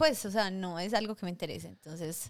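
A woman's voice with a bright, sharp tone and ordinary pitch variation. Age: 30s. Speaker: podcast co-host. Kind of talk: casual chat.

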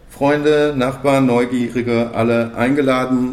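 In a room with audible echo, a man talks fairly slowly at a medium pitch with fairly even intonation. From Bochum, Ruhr area, Germany. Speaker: podcast host. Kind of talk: casual chat. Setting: café.

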